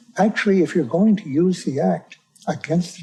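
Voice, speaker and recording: A man with an American accent speaks at a fairly slow pace. Music plays in the background. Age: 80s+. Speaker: whistleblower. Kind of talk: tribunal testimony.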